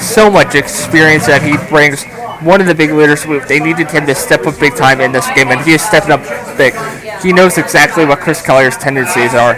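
Music plays in the background as a man with a fairly high pitch speaks in an enthusiastic tone at a fairly quick pace. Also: ordinary pitch variation. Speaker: radio color commentator. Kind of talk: live game analysis as color commentary. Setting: stadium press box, radio broadcast. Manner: conversational, analytical, enthusiastic.

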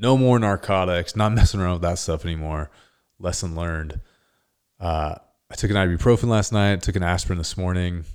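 A man talks at a fairly quick pace in a very deep, low voice. He has an American accent. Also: ordinary pitch variation, very clean recording, silent background. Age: 30s. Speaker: podcast host. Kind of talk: solo podcast monologue.

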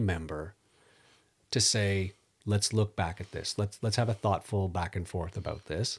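Somewhat breathy, a man's voice moves at a moderate pace. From Netherlands. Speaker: podcast host. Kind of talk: scripted intro and interview.

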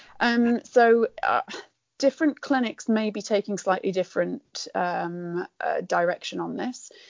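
Spoken at a very slow pace, this voice carries a British accent. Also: woman. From rural UK. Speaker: veterinarian. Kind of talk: interview.

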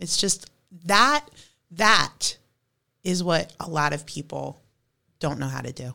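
A woman's very deep, low voice with vocal fry and lively intonation, at a very slow pace broken by long, frequent pauses. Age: 40s. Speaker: eighth grade math teacher. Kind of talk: casual chat.

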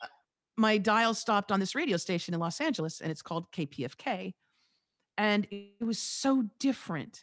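At a moderate pace and medium pitch, a woman with an American accent sounds animated, her intonation lively, in a dry, close sound with no echo. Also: quiet background. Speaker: radio host and podcast coach. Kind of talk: casual interview.

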